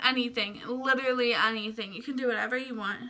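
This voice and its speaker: Raised and projected, a woman's high-pitched voice carries a bright, sharp tone. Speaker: vlogger. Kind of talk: casual vlog talk to camera. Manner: fast; sometimes stumbles over words.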